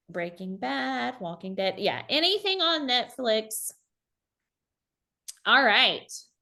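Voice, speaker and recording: Speaking very slowly with an American accent, a woman uses a bright, sharp tone and very wide pitch swings. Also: long, frequent pauses. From South Carolina. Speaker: high school economics teacher. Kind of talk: online teacher workshop presentation. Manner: casual, conversational.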